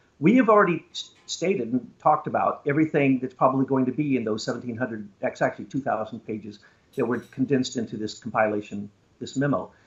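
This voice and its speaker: A man speaks at a fairly quick pace in a fairly high pitch, with a plain, everyday voice. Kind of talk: conspiracy talk interview.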